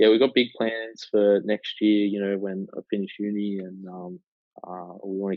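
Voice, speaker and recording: With an Australian accent, a man talks at a fairly low pitch in a monotone, flat intonation. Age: 20s. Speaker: digital marketing agency co-founder and university student. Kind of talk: casual interview. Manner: halting, many fillers.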